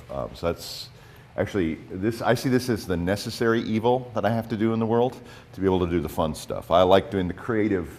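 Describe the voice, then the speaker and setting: A man with an American accent speaks at a fairly quick pace, his pitch varying in an ordinary way. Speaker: nonprofit president and public policy advocate. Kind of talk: conference presentation. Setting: conference in high school room with microphone. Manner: many fillers and repetitions.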